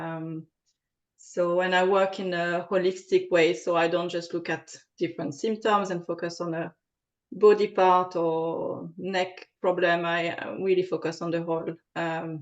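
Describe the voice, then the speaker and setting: A woman with a French accent speaks at a fairly slow pace, her fairly low pitch held in a fairly even intonation. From France. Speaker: aromatherapist. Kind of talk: interview. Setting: podcast recording. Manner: halting, many fillers.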